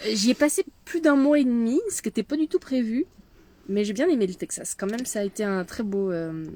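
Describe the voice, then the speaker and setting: A woman's dark, mellow tone with very wide pitch swings, in a dry, close sound with no echo. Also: moderate pace. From France. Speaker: medium and leadership mentor. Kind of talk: casual chat. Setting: in a van.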